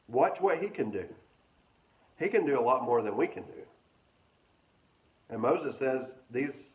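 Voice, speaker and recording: A man at a moderate pace, with long, frequent pauses, big swings in loudness and audible room echo. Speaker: pastor. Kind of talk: sermon.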